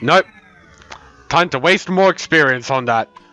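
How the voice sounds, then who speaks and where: Against noticeable background noise, a man speaks at a fairly quick pace, the sound dry and close with no echo. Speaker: gaming video creator. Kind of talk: let's play commentary. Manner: fast; animated.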